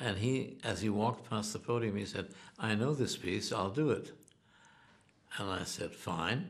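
With music in the background, a man speaks at a moderate pace and fairly low pitch, with ordinary pitch variation. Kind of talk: interview answer. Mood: amused storytelling.

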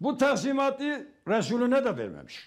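Everything behind the voice is quiet. Delivery comes at a fairly slow pace. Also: man. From eastern Turkey, Muş; Turkey. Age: 70s. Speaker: retired imam and religious teacher; TV guest. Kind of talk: live TV interview with religious sermon elements. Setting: remote video link from home. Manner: formal. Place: home room. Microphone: lapel.

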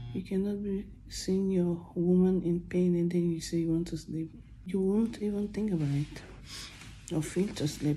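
A soft-spoken woman talks at a moderate pace with a tired tone, a fairly low pitch, fairly even intonation, a dark, mellow tone and a somewhat breathy quality, with light background noise behind her. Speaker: vlogger. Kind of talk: casual vlog chat. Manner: soft, tired, pained low voice. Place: home room. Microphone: phone near.

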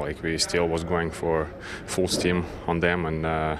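Noticeable background noise sits behind a man's very deep, low voice. His intonation is monotone and flat. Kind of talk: interview answer. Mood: relaxed, pleased after win. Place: hall.

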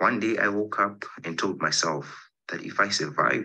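A man speaks in a bright, sharp tone. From Zimbabwe. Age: 20s. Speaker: poet. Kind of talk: poetry reading. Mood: earnest, reflective. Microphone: video call.

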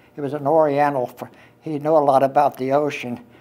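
At a moderate pace, a man with an American accent speaks at a fairly high pitch with monotone, flat intonation. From Pennsylvania, USA. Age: 80s+. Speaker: war veteran. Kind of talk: interview answer. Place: hall.

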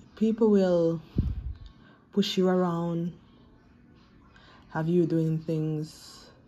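Over light background noise, a woman speaks very slowly and somewhat breathily, with ordinary pitch variation. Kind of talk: motivational vlog message. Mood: earnest, encouraging. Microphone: phone near.

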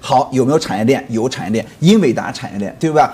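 His pitch swings very widely. The man keeps up a fairly quick pace. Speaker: stock market commentator guest. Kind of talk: interview answer. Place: studio. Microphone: lapel.

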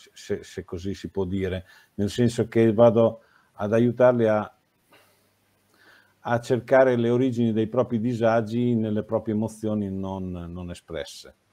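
Over a quiet background, a man speaks in a dark, mellow tone at a fairly slow pace with long, frequent pauses. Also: fairly even intonation. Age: 60s. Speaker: former nurse, health educator; health educator. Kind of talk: interview. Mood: calm, reflective. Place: home room. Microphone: video call.

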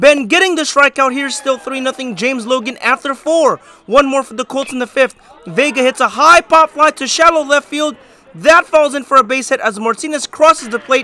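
A man projects his voice at an extremely high pitch with ordinary pitch variation, the sound dry and close with no echo, over noticeable background noise. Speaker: sports highlights narrator. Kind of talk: scripted play-by-play highlight narration for high school baseball. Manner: energetic, punchy sports-announcer delivery; brisk, rapid-fire recap pacing.

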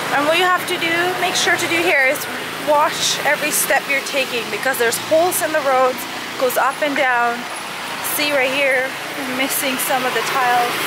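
Loud background noise fills this dry recording with no echo. The pace is moderate. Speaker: travel vlogger. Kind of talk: casual vlog chat. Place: street. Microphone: phone near.

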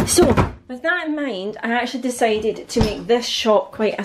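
A woman talks at a moderate pace. Her pitch varies in an ordinary way. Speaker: family budget vlogger. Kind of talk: casual vlog chat. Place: kitchen. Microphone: phone near.

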